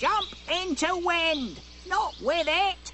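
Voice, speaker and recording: A cartoonish character voice at an extremely high pitch, over clear background noise. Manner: rustic, ungrammatical.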